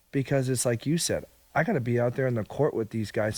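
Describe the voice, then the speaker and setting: On a very clean recording with a silent background, a man with an American accent speaks at a medium pitch with ordinary pitch variation. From Indiana, US Midwest. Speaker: basketball shooting coach. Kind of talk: interview. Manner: loud; animated.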